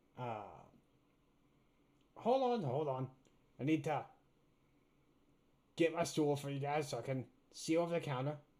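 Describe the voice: A man in a put-on character voice, fairly high-pitched, with long, frequent pauses. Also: moderate pace.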